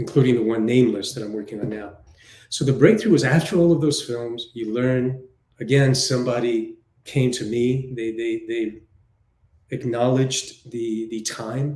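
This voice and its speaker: A man with a dark, mellow, somewhat breathy tone talks at a moderate pace, keeping his intonation fairly even while his loudness swings widely. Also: medium pitch for a man. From New York City. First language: Spanish. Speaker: film director and writer. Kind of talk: interview. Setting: live online show.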